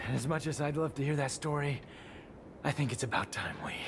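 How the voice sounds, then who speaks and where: A put-on character voice at a low-to-middle pitch and a fairly quick pace, over loud background noise. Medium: video game. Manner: wry, sarcastic.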